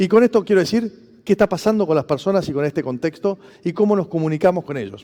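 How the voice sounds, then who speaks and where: Using lively intonation, a man with a Rioplatense accent speaks in a high voice with a dark, mellow tone. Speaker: former public official, conference speaker. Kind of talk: conference talk. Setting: stage with audience. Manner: fast.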